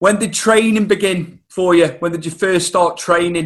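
Bright and sharp in tone, a man with a Welsh accent speaks at a high pitch. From North Wales, UK. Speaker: podcast host. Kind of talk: casual interview.

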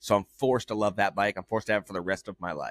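A loud man speaks at a very fast pace, with a medium pitch and fairly even intonation. The sound is dry and close with no echo, on a very clean recording with a silent background. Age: 30s. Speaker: motorcycle podcast host. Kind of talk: casual chat.

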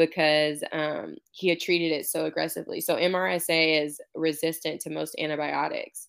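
A woman with an American accent talks in a very deep, low voice, captured in a very clean recording against a silent background. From Houston, Texas. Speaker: former college softball player, counseling student. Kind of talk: interview.

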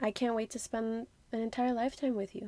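In an American accent, a woman with a fairly high pitch and an ordinary speaking voice talks at a moderate pace. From outside the US, another country. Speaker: podcast host, guest. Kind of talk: casual interview chat.

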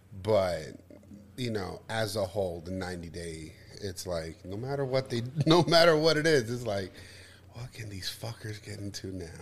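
A man speaks at a moderate pace in a fairly low, somewhat breathy voice with lively intonation. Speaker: podcast co-host. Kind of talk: casual chat. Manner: animated.

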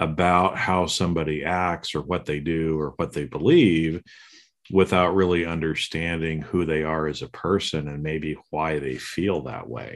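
A man speaks with a very deep, low pitch at a fairly slow pace. His intonation is fairly even, and the background is quiet. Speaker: podcast host and executive coach. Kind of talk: casual chat. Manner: halting, repeats words.

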